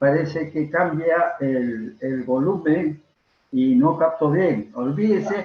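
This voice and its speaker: Pitch rises and falls in a normal way. Delivery is very slow. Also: man, fairly high pitch for a man. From Peru. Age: 90s. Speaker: veteran stage and film actor. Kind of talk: interview. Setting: video call. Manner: halting.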